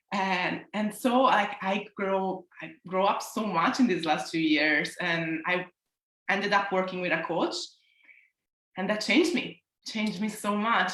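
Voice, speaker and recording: In an Italian accent, a woman speaks at a fairly slow pace with a bright, sharp tone. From Italy. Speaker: self-love coach. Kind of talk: interview.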